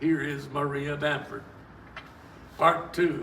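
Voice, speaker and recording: A man with an American accent at a fairly slow pace, with audible room echo and noticeable background noise. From US South. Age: 80s+. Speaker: author. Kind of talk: reading aloud.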